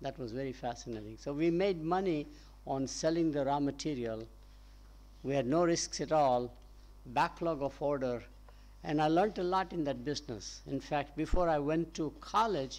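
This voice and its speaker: The delivery comes at a moderate pace in a Gujarati accent. The background is quiet. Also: man. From India, Gujarat. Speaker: professor. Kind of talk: panel discussion.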